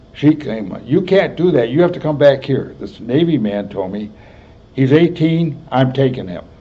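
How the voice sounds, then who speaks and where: A man with an American accent and a fairly high pitch speaks at a moderate pace with lively intonation, big swings in loudness and audible room echo. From US Midwest. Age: 80s+. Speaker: war veteran. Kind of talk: oral history interview. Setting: health center.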